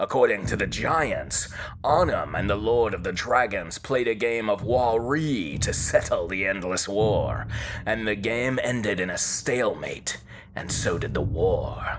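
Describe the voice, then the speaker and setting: At a moderate pace, a man puts on a character voice against clear background noise. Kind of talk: fantasy lore storytelling. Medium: read story. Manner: measured, storytelling.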